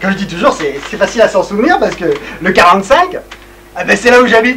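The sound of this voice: A man's put-on character voice, high-pitched, bright and sharp, with lively intonation at a fast pace.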